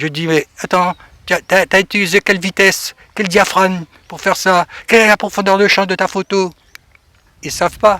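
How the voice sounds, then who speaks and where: The voice is raised and projected, with a bright, sharp tone. Its intonation stays monotone and flat at a moderate pace. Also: man, high pitch for a man. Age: 70s. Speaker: retired photojournalist. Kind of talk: radio interview. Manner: casual, hesitant with fillers.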